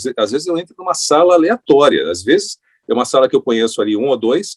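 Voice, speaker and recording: A man talks at a very fast pace and a fairly high pitch, with very wide pitch swings and vocal fry. The sound is dry and close, with no echo. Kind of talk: radio announcer.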